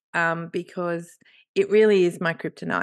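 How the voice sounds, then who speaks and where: Against a quiet background, a woman with an Australian accent speaks at a fairly low pitch with ordinary pitch variation. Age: 50s. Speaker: podcast co-host and writer. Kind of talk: casual chat.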